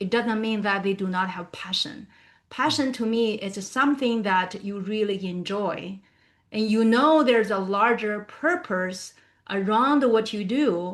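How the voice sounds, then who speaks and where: A woman with a non-native accent talks at a fairly slow pace in a fairly high voice with ordinary pitch variation against a quiet background. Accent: non-native, still learning pronunciation. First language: not English. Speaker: professional speaker. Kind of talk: professional talk / webinar discussion.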